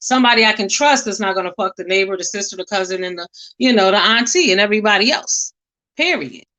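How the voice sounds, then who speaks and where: A woman speaks loudly and very fast with lively intonation. Her tone is bright and sharp. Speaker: livestream commentator. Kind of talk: casual commentary rant. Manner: strong, forceful.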